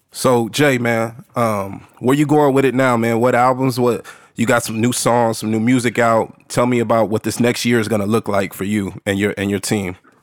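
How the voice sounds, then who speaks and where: A man with an American accent speaks in a normal speaking voice at a medium pitch and a moderate pace, with fairly even intonation and hardly any pauses, on a very clean recording with a silent background. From Texas, San Antonio. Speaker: podcast host. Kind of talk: casual interview.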